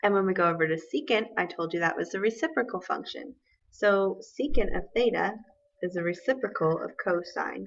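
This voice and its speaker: The voice has vocal fry and lively intonation. It moves at a fairly quick pace. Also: woman, medium pitch for a woman. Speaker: math teacher. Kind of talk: tutorial. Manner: fast.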